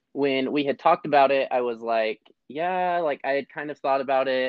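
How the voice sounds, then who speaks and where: A man talks at a moderate pace with ordinary pitch variation, an unremarkable speaking voice. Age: young. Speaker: podcast co-host, horse trainer. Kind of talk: casual chat.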